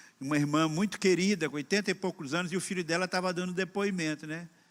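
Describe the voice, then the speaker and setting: The man speaks at a fairly quick pace with a high pitch, recorded very cleanly against a silent background. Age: 60s. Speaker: pastor. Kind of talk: sermon. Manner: conversational.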